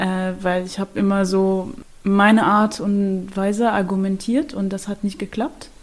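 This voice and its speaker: At a medium pitch, a woman speaks very slowly. Her intonation stays fairly even. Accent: Arabic. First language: Arabic (speaking German). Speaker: prevention project worker. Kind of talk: casual chat. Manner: halting.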